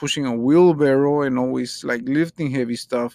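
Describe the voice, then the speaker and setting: In a very clean recording with a silent background, a man with a non-native accent talks at a moderate pace, his fairly high voice showing ordinary pitch variation. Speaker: podcast host. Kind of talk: casual monologue. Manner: halting.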